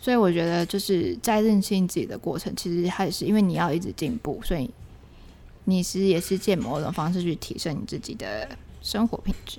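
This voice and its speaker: Fairly quick and medium-pitched, a woman's dark, mellow voice has vocal fry and ordinary pitch variation. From Taiwan. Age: young. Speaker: podcast co-host, NGO manager. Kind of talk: casual chat. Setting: closed cafe after hours.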